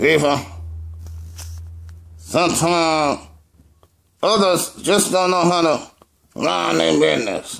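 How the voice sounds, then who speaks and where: A man's cartoonish character voice, fairly high-pitched, at a fairly slow pace with long, frequent pauses. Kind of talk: comedy puppet skit. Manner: brash, mocking.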